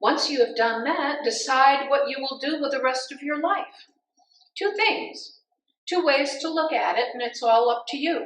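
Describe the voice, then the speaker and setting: A high-pitched woman's voice, fairly slow, with lively intonation. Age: 70s. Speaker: pastor. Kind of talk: sermon.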